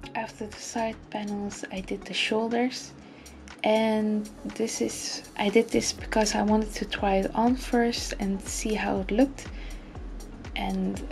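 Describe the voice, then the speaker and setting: Over music in the background, a woman speaks at a fairly slow pace with a non-native accent. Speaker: sewing hobbyist. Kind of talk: tutorial voice-over.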